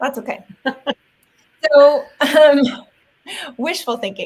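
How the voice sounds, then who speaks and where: The speaker here is a woman. Her voice goes up and down a normal amount. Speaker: actor and live stream host. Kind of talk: casual live stream chat. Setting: live video stream. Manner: loud. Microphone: Yeti microphone, new to her.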